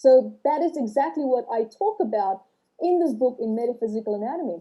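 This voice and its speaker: A woman's high voice with a dark, mellow tone, very wide swings in pitch, a non-native accent and a fairly quick pace. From South Africa and Australia. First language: not English. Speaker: author and trauma healing teacher. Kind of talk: podcast interview. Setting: livestream.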